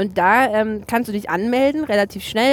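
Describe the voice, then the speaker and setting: A woman with a plain, everyday voice, moderate pace and ordinary pitch variation. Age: 20s. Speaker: TV journalist. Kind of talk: casual chat. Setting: in a car.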